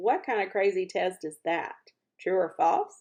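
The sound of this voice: The speaker uses a put-on character voice with lively intonation at a fairly slow pace. The tone is slightly mellow with a slightly husky edge. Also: woman, fairly low pitch for a woman.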